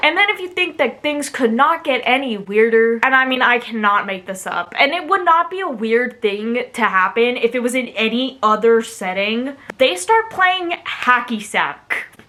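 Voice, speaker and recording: Amid noticeable background noise, a woman with a high pitch talks at a moderate pace with hardly any pauses and very wide pitch swings. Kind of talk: casual storytime talk to camera.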